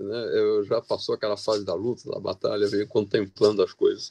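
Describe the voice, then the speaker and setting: Moderately paced male speech in a dry, close sound with no echo. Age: 60s. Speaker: audience member. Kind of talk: audience comment in panel Q&A. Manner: halting, repeated words.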